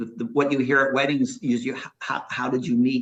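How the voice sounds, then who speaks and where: A man's unremarkable speaking voice at medium pitch, with fairly even intonation and a moderate pace. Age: 60s. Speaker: startup founder and CEO. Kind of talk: interview.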